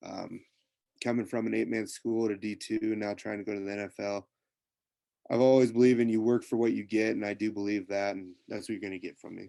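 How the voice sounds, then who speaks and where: A man's fairly low, dark, mellow voice with a Midwestern American accent, flat monotone intonation and a fairly quick pace. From US Midwest, rural Nebraska. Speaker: college football player. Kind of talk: interview. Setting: video call.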